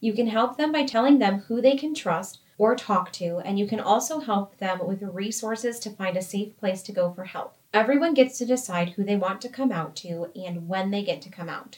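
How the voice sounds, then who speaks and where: A woman with a normal speaking voice and an American accent speaks at a moderate pace with hardly any pauses. Her medium pitch carries lively intonation. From United States. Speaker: workplace podcast co-host, employee engagement coordinator. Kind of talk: scripted educational podcast.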